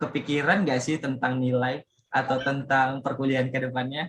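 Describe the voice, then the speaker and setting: With a Medan accent, a man speaks at a medium pitch. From Indonesia, Medan (North Sumatra). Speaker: student podcast host. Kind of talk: casual podcast chat. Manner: loud; animated.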